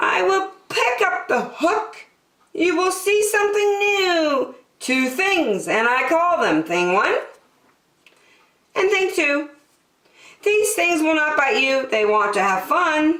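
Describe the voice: With strong room echo, a woman uses a put-on character voice at a high pitch, with a fairly bright tone, a slow pace and lively intonation.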